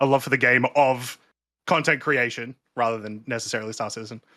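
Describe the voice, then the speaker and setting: This man speaks at a moderate pace with an Australian accent, a medium pitch, fairly even intonation and a bright, sharp tone, on a very clean recording with a silent background. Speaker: streamer and YouTuber, co-host. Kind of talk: casual podcast chat.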